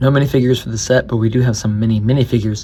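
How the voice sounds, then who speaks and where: A quiet, medium-pitched male voice with a dark, mellow tone at a very fast pace. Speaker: toy reviewer. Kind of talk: casual product review to camera. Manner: quiet, monotone.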